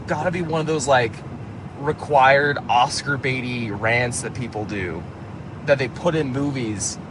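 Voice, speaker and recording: Noticeable background noise runs through the clip. A man speaks at a fairly slow pace. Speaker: movie reviewer. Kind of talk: casual monologue. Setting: in a car. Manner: halting, many fillers and restarts.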